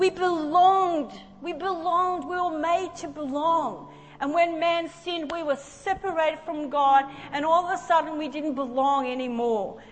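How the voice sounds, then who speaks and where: In an Australian accent, a woman with an animated tone speaks at an extremely high pitch and moderate pace, with ordinary pitch variation. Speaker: preacher. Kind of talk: sermon. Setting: church with live audience. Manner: animated, fervent.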